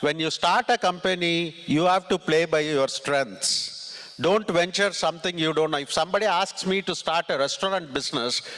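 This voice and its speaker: A high-pitched man with a Tamil accent at a moderate pace, with ordinary pitch variation and noticeable background noise. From southern India (Tamil Nadu, Ramanathapuram). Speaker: tech executive and conference speaker. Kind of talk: motivational talk. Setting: stage with audience.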